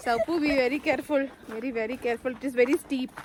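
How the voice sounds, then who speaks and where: Noticeable background noise sits behind a woman whose high-pitched voice shows ordinary pitch variation. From Malayali raised in north India (Delhi). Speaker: travel vlogger. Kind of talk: casual travel vlog, code-switching Malayalam, English, Hindi. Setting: outdoors hiking in the mountains.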